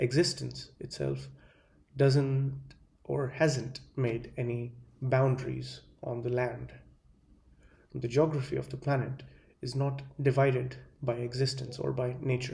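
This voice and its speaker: Speaking at a fairly slow pace with long, frequent pauses, a man with an Indian accent has a dark, mellow, somewhat breathy tone and monotone, flat intonation, with audible room echo. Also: medium pitch for a man. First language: Hindi. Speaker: video essayist. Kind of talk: monologue lecture. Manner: halting, many fillers.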